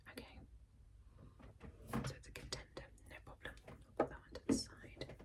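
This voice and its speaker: A woman whispers at a fairly quick pace, with long, frequent pauses and big swings in loudness. There is noticeable background noise. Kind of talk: ASMR role-play, whispered consultation. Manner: whispered, soft-spoken.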